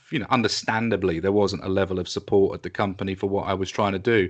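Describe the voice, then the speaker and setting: A man speaks fairly quickly. His words come at a brisk clip. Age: 50s. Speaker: music industry publicist. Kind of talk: interview.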